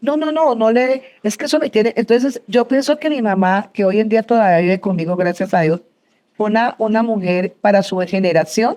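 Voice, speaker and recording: A woman speaks at fairly high pitch with a dark, mellow tone and lively intonation. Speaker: entrepreneur, business founder. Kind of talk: interview before live audience. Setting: university auditorium with audience. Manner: fast.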